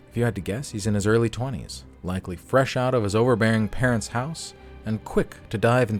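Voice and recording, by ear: A natural voice reads the text aloud. Its intonation is fairly even.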